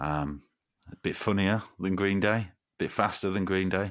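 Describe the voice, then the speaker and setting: In a very clean recording with a silent background, a man speaks with an East Midlands accent. His pitch is very deep and low, and his pace is moderate. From Derby, East Midlands, England. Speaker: podcast guest, fellow podcaster. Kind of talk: casual chat.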